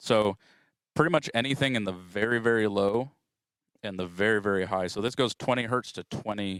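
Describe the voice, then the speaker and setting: On a very clean recording with a silent background, a man's resonant, fairly low voice moves at a moderate pace with ordinary pitch variation. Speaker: audio engineering trainer. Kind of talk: tutorial. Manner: casual with frequent fillers.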